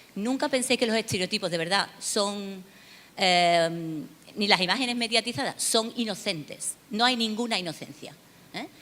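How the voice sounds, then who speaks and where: With an Andalusian accent, the voice has a bright, sharp tone, a moderate pace and ordinary pitch variation. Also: woman, medium pitch for a woman. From Seville, southern Spain. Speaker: academic researcher on migration. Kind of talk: conference lecture. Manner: hesitant, many fillers.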